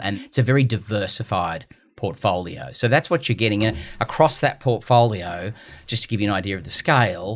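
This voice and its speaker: On a very clean recording with a silent background, a man with an Australian accent talks at a fairly quick pace with lively intonation. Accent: Gold Coast Australian. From Australia, Gold Coast. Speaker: investment firm CEO. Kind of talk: podcast interview.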